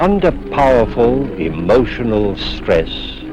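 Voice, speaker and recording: A man's voice over music in the background. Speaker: actor. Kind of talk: TV horror anthology host introduction.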